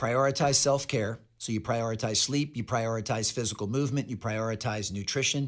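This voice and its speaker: A man at a medium pitch with hardly any pauses, in a very clean recording over a silent background. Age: 40s. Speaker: author and speaker on performance. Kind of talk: interview conversation. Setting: studio. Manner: animated.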